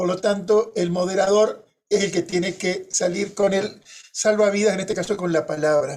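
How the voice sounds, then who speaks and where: With a Uruguayan accent, a man speaks at a high pitch and a moderate pace, keeping his intonation fairly even. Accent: Rioplatense Spanish (Uruguayan). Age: 60s. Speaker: moderator, journalist. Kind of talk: panel moderation with personal anecdotes. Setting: conference panel.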